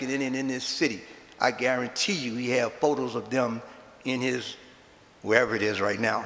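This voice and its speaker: Speaking in a New Orleans accent, a man with a bright, sharp tone and medium pitch moves at a fairly quick pace with ordinary pitch variation. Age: 70s. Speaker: Mardi Gras Indian chief. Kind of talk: eulogy speech. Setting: chapel with audience.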